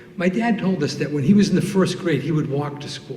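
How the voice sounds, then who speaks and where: A man's lively intonation comes through at a moderate pace, along with audible room echo and noticeable background noise. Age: 60s. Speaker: storyteller. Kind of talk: storytelling.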